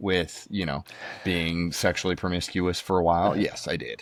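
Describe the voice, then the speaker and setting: The recording is very clean, with a silent background. A man speaks with a dry, close sound and no echo. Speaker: podcast guest, podcaster and former minister. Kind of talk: casual chat. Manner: loud by nature; hesitant, many fillers.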